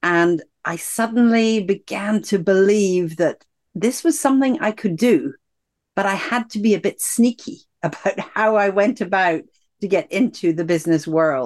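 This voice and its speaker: A woman's medium-pitched voice with a Scottish accent, lively intonation and a moderate pace. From Scotland. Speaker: executive coach and author. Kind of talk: interview about her book and life story.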